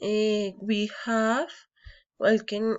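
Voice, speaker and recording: A woman speaks very slowly with a Colombian accent. Her pitch sits fairly high. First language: Spanish. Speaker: engineering student. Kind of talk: prepared personal anecdote in a foreign language. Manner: halting, with hesitations and false starts.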